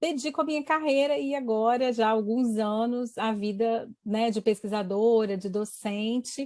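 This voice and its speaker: In a very clean recording with a silent background, a woman speaks at a fairly high pitch and a fairly slow pace, with ordinary pitch variation. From Brazil, Espírito Santo. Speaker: university professor. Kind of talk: interview.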